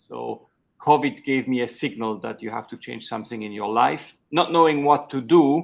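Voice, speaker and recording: Against a quiet background, a man in a Swiss German accent speaks at a moderate pace. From Switzerland. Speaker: executive coach. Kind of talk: interview. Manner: halting.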